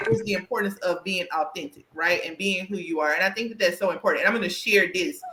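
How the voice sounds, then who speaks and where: A woman's medium-pitched voice with an American accent, very fast and with hardly any pauses, ordinary pitch variation, over noticeable background noise. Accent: country twang. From US South. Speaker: career coach and podcast host. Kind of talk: casual interview chat.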